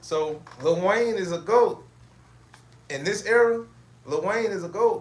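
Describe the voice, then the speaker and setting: A man with a high pitch speaks at a fairly slow pace, using ordinary pitch variation and long, frequent pauses. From Chicago, US Midwest. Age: 40s. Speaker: podcast host. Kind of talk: casual monologue. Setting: at home, livestream. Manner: casual, halting with repetitions.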